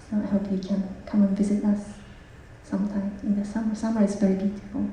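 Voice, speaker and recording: In a Japanese accent, a woman speaks very fast with monotone, flat intonation, amid audible room echo and noticeable background noise. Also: medium pitch for a woman. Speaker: Buddhist nun. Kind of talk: self-introduction at a public talk.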